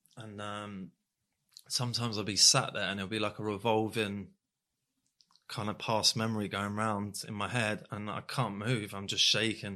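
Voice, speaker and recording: Moderate pacing and an unremarkable speaking voice, captured very cleanly against total silence. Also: man. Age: 30s. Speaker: author. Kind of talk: interview.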